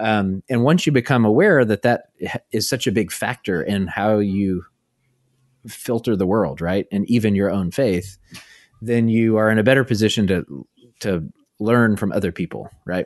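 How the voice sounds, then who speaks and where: An ordinary speaking voice at a moderate pace, with ordinary pitch variation, comes through with a dry, close sound, no echo and a quiet background. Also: man, fairly low pitch for a man. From US South, Arkansas small town. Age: 30s. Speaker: author and theologian. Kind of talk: interview conversation.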